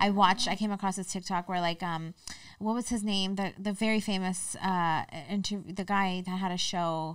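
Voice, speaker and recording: A woman with monotone, flat intonation at a moderate pace, in dry, echo-free sound over a quiet background. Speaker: podcast co-host; podcast guest. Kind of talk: casual chat. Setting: studio. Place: studio. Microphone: studio mic.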